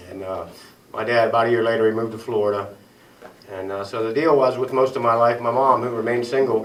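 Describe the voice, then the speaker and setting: In an Ohio accent, a man talks at a very fast pace with monotone, flat intonation. Audible room echo and noticeable background noise fill the recording. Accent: Midwestern US (Ohio). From Ohio, Tuscarawas County. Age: 40s. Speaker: recovering alcoholic speaker. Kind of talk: recovery meeting testimony. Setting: small meeting room with audience. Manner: casual, halting with fillers.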